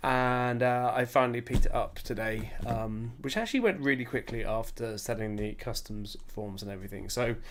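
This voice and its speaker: A man at a medium pitch, moderate pace and fairly even intonation, with hardly any pauses and audible room echo. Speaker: YouTuber / card game streamer. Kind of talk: casual unboxing livestream.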